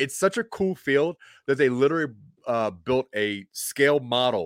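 A man with an unremarkable speaking voice talks at a fairly slow pace with lively intonation, recorded very cleanly against a silent background. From Maryland and Delaware. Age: 40s. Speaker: comedian. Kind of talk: casual chat.

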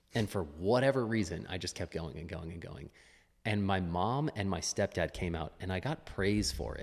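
A man with lively intonation at a moderate pace, on a very clean recording with a silent background. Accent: American. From US West Coast (Los Angeles). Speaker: fitness coach and athlete. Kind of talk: casual interview.

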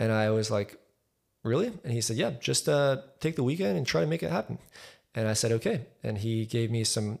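In a very clean recording with a silent background, a man with an unremarkable speaking voice talks at a fairly quick pace and a medium pitch. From Texas, raised in Highland Park from age four. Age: 20s. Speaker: architect and musician. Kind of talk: casual chat.

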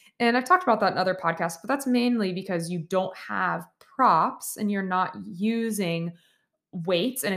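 On a very clean recording with a silent background, a woman talks in an unremarkable speaking voice. She has a medium pitch, lively intonation and a moderate pace. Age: 30s. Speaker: podcast host, physical therapist and yoga teacher. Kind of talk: solo podcast monologue. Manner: casual, filler-heavy.

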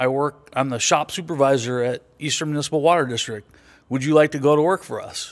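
Using fairly even intonation, a man with an American accent talks at a very fast pace. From US West Coast, Los Angeles. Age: 60s. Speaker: veteran and former diesel mechanic. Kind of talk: casual chat, podcast interview.

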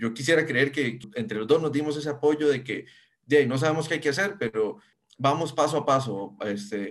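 A man's fairly quick, fairly high-pitched speech shows ordinary pitch variation. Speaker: software engineer. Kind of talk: interview. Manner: halting.

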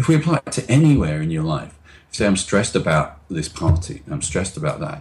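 A man talks in a somewhat breathy voice, his pitch swinging very widely. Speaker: NLP trainer and author. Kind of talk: interview explanation. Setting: video call.

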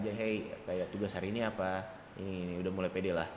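Audible room echo surrounds a man who speaks very fast in a flat monotone at a fairly low pitch. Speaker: young entrepreneur and event organizer. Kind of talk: casual interview chat.

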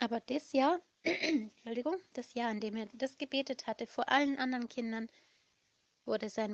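Dry and close with no echo, a woman speaks in an ordinary speaking voice, fairly high in pitch, at a moderate pace with ordinary pitch variation. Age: 30s. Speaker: children's home worker telling stories. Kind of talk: storytelling for children. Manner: warm, simple explanatory.

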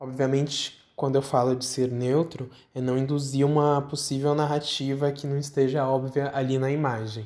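The man talks at a moderate pace with a fairly high pitch. His intonation is monotone and flat. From São Paulo, Brazil. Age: 20s. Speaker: museum designer. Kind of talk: interview answer. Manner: hesitant, many fillers.

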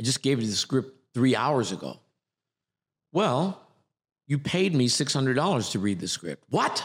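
An animated man with an American accent talks at a moderate pace and medium pitch. His intonation is lively, with some vocal fry. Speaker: acting coach. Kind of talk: casual interview chat. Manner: animated, jokey.

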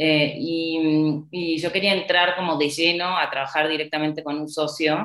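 A woman talks in a very deep, low pitch at a fairly slow pace with hardly any pauses. Her intonation is monotone and flat. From Argentina. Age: 30s. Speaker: corporate lawyer. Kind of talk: interview. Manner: hesitant, many fillers.

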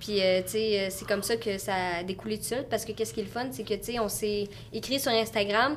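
Speaking fairly quickly, a woman keeps her voice at a medium pitch. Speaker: content creator. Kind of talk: casual chat. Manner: animated.

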